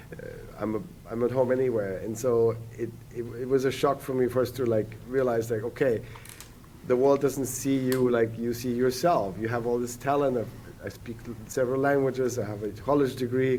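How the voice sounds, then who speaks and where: Flat and monotone, a man with a non-native accent speaks in a dark, mellow tone. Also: medium pitch for a man, moderate pace. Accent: non-native accent when speaking Finnish. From Germany. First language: German. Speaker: economist and entrepreneur. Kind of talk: podcast interview. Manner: halting, repeats words.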